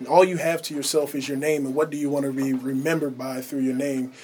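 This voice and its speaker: A man's monotone, flat delivery over noticeable background noise. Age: 20s. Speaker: college student athlete and church elder. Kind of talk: radio interview. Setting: radio studio booth.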